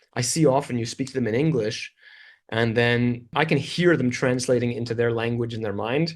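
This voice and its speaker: This is an ordinary speaking voice. It carries a Canadian accent. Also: man. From Canada. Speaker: English teacher and video creator. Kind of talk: interview.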